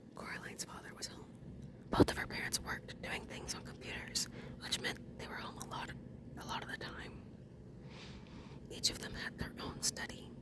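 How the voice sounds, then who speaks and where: The speech is whispered at a moderate pace. Long, frequent pauses break it up over noticeable background noise. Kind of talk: whispered audiobook reading, ASMR. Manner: whispered, soft-spoken.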